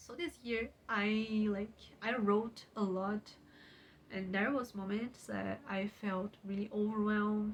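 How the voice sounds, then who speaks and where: A woman's fairly high voice with a Portuguese accent, fairly even intonation and a very slow pace. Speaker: YouTuber and writer. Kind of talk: casual vlog talk. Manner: halting, with many fillers.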